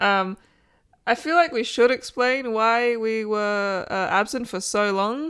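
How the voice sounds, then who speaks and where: Recorded very cleanly against a silent background, a woman speaks at a very slow pace with ordinary pitch variation. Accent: Australian. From Australia. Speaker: podcast co-host. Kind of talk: casual chat. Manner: animated.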